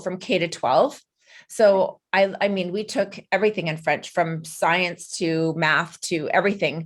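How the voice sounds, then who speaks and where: Recorded very cleanly over a silent background, a woman with a Canadian accent uses a normal speaking voice at medium pitch, ordinary pitch variation and a moderate pace. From western Canada. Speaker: podcast host. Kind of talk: interview.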